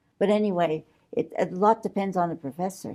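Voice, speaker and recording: A woman's medium-pitched voice, dark and mellow in tone with vocal fry, lively intonation and a moderate pace. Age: 80s+. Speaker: interviewee, lay church worker. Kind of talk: interview. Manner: halting.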